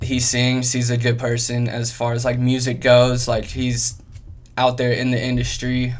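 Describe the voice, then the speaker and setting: Monotone, flat intonation in an American accent at a moderate pace, with audible room echo. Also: man. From US Midwest (Kansas and Ohio). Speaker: rapper. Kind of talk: interview. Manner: hesitant, many fillers.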